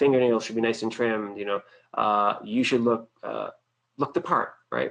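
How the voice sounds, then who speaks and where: A moderate pace with an American accent. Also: man. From Boston, US. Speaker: webinar presenter, financial services marketer. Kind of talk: webinar presentation. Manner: casual, many fillers.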